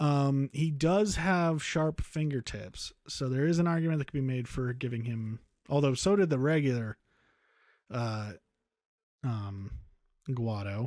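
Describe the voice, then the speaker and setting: The recording is very clean, with a silent background. A man of medium pitch speaks at a fairly slow pace with lively intonation and long, frequent pauses. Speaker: streamer making a game-design tutorial. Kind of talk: live-stream tutorial. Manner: casual, rambling with fillers.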